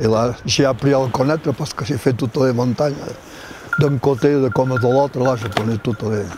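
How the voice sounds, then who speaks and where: A man's voice at a moderate pace with fairly even intonation, dry and echo-free, over noticeable background noise. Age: 80s+. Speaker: hunt houndsman. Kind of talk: documentary interview answer. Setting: outdoors. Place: forest.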